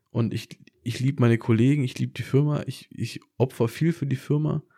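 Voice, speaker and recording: On a very clean recording with a silent background, a man speaks at a moderate pace and medium pitch, with a dark, mellow tone and ordinary pitch variation. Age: 20s. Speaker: podcast co-host. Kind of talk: casual chat.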